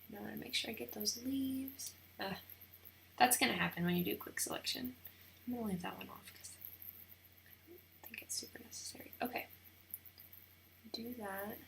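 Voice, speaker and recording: Whispering at a fairly quick pace, broken by long, frequent pauses, over noticeable background noise. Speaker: wedding photographer. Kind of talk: tutorial. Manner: casual, thinking aloud.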